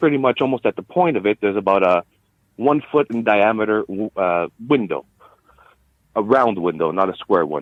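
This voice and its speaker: A man speaks with a Quebec accent at a fairly low pitch. His intonation is lively and his pace is moderate. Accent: Quebec anglophone accent, noticeable. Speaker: interview guest sharing sighting. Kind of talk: interview storytelling. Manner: hesitant, many fillers.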